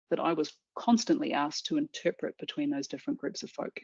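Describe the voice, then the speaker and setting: A woman talks fairly quickly with very wide pitch swings and vocal fry, recorded with a dry, close sound and no echo. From New Zealand. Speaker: business executive and speaker. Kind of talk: lunch-time talk, presentation.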